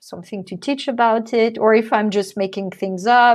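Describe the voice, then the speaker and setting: This woman talks with a French accent. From France. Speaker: artist and mindfulness educator. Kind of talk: interview chat.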